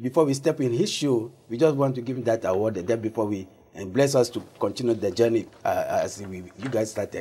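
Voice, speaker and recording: A man with a strong African accent, at a fairly quick pace with hardly any pauses. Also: ordinary pitch variation. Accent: African accent, deep. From Togo, West Africa. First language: Togolese African language; also French. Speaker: founder of an African diaspora organization. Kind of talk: TV interview.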